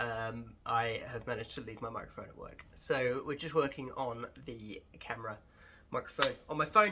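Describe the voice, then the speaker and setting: A man with a southern English accent speaks in a bright, sharp tone. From England. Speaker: wine educator. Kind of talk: casual tutorial vlog.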